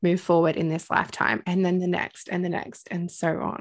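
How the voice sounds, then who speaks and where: A fairly low-pitched woman with an Australian accent, against a quiet background. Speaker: podcast host, spiritual teacher. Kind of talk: casual chat. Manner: animated.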